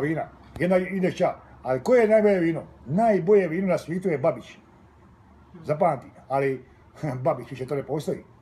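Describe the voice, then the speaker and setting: A man with a Dalmatian accent speaks at a fairly quick pace in a high voice, his intonation lively and broken by long, frequent pauses. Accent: Dalmatian dialect of Croatian. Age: 80s+. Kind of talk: casual conversation over lunch.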